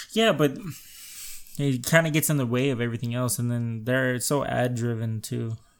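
A man has a plain, everyday voice at medium pitch. He talks at a moderate pace with fairly even intonation. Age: 20s. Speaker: podcast co-host. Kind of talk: casual chat.

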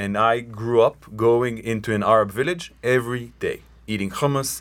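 A man with an Israeli accent speaks at medium pitch and a moderate pace with ordinary pitch variation. The recording is very clean, with a silent background. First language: Hebrew. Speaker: tour company co-owner. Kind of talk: radio interview. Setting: radio studio.

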